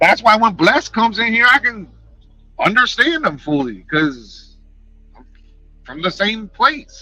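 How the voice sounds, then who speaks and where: A man with a high pitch uses a raised, projected voice with very wide pitch swings, speaking at a fairly slow pace with long, frequent pauses. Music plays in the background. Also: big swings in loudness. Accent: New York. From New York. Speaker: YouTuber and livestreamer. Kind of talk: casual livestream chat. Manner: animated, passionate.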